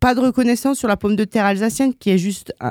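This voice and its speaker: A woman speaks in a dark, mellow tone with ordinary pitch variation. The recording is very clean with a silent background and a dry, close sound with no echo. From Alsace, France. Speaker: business owner. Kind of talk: radio interview.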